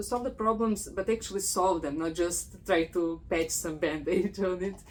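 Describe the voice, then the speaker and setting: The pace is moderate and the pitch varies in an ordinary way. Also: woman, medium pitch for a woman. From Croatia. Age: 40s. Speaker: podcast host, PhD student. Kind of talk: casual interview conversation.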